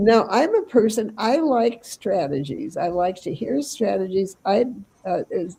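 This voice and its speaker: Fairly high in pitch, a woman speaks with very wide pitch swings. Her pace is fairly slow. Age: old. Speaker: radio host. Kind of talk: casual chat. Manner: halting.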